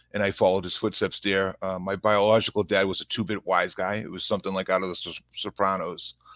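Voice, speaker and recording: A man talks with a strong Boston accent at a fairly quick pace. The sound is dry and close, with no echo. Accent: thick Boston. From Massachusetts, Revere near Boston. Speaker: police officer. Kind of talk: podcast interview. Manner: halting, many fillers and repeats.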